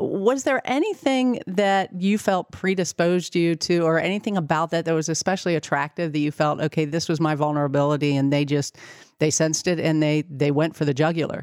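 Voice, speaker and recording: On a very clean recording with a silent background, a woman with an ordinary speaking voice talks at a fairly quick pace with hardly any pauses. Her fairly low pitch shows ordinary variation, and her loudness stays very even. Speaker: podcast host. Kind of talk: interview.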